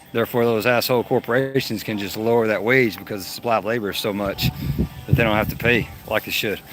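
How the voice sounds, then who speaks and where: Very fast, monotone, flat speech from a man over noticeable background noise. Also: medium pitch for a man. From Texas. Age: 40s. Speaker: live streamer. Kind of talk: casual chat. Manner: casual, conversational.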